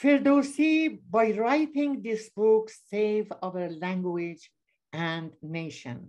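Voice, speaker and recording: Against a quiet background, a woman talks with a Persian accent at a very slow pace. Her fairly high pitch moves in very wide swings. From Iran. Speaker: author; panelist. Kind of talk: presentation reading from slides. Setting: video call. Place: home room. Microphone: webcam.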